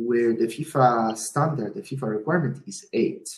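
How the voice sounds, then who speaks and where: A man talks at a fairly slow pace. His somewhat breathy voice has ordinary pitch variation. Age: 40s. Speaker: sports event operations manager. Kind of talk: interview. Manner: hesitant, many fillers.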